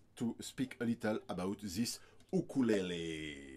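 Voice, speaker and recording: A man speaks at medium pitch in a strong French accent. The recording is very clean, with a silent background. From France. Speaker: ukulele player and reviewer. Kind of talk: product review. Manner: halting, many hesitations.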